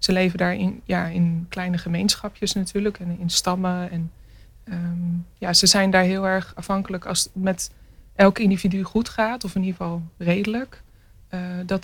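Somewhat breathy, a woman speaks at a medium pitch with monotone, flat intonation. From Netherlands, near Rotterdam (Maassluis). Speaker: visual artist. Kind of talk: radio interview.

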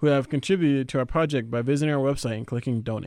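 Over a quiet background, a man talks in an ordinary speaking voice at a fairly high pitch with ordinary pitch variation. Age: young. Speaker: youth radio host. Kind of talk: radio presenting; roundtable discussion.

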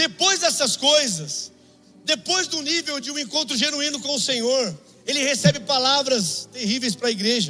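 An extremely high-pitched man's voice, raised and projected, with lively intonation at a moderate pace over music in the background. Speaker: preacher. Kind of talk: sermon. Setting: church. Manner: animated; exhortative.

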